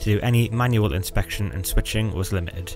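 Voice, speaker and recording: With music in the background, a man talks at a fairly quick pace in a fairly low pitch. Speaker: electrical engineer. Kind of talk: technical explainer narration.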